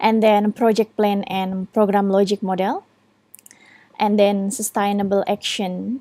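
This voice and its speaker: A woman speaks with an Indonesian accent at medium pitch, her tone dark and mellow. Her pace is fairly slow and her intonation monotone and flat. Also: dry, close sound with no echo. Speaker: student. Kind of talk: recorded presentation. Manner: halting, with frequent fillers.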